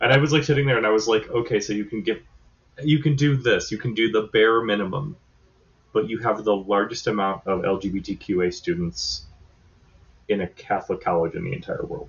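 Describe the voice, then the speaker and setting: With lively intonation, a somewhat breathy man speaks at a moderate pace and medium pitch. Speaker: podcast guest host. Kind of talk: casual chat. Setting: remote recording.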